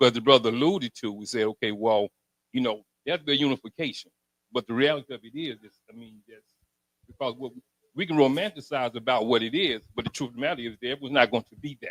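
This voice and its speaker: A man's medium-pitched voice at a very fast pace, with ordinary pitch variation and big swings in loudness. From Alabama, US South. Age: 60s. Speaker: audience member asking a question. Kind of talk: audience question at public forum.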